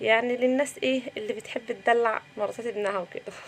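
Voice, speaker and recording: A woman speaks at a fairly quick pace in a high pitch, with ordinary pitch variation. Noticeable background noise runs behind her. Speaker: cooking vlogger. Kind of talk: cooking vlog narration. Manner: subdued.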